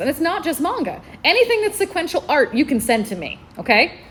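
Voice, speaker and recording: A woman with a Southern US accent talks at a very fast pace with very wide pitch swings. Background noise is noticeable. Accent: Southern twang. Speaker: librarian. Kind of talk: convention panel talk. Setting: stage with audience.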